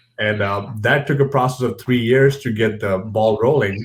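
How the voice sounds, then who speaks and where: Somewhat breathy, a man talks at a moderate pace with a medium pitch. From India. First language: non-English (Indian language). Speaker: professional wrestler. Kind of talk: casual interview. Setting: video call.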